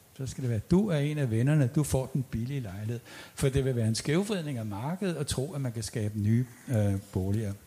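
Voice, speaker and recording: A man with a dark, mellow tone and a somewhat breathy voice speaks at a moderate pace. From Copenhagen. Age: old. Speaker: audience member, architecture activist. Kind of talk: panel debate.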